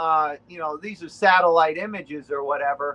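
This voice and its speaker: With a Boston accent, a man keeps a fairly even intonation and a bright, sharp tone. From New England, Rhode Island. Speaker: relic hunter. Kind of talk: casual interview.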